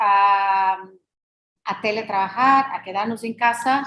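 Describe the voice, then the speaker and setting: Speech with a non-native accent moves at a very slow pace with fairly even intonation. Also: woman. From Brazil. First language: Portuguese (speaking Spanish). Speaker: law professor. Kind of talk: lecture. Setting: video call. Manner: halting, many fillers.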